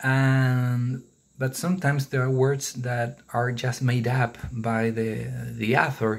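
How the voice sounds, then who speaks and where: Speaking at a very slow pace, this voice carries a non-native accent. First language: not English. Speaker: book vlogger. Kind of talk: casual book review monologue. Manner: halting, many fillers and repetitions.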